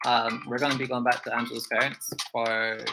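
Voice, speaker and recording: A man with a medium pitch delivers his words at a fairly quick pace. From Scotland. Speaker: YouTube reaction streamer, teacher. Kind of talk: casual livestream chat. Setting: livestream.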